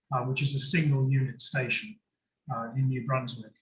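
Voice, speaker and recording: Somewhat breathy and fairly high-pitched, a man speaks at a moderate pace. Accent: British. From UK. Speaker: nuclear industry consultant. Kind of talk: lecture. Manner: halting, many fillers and repeats.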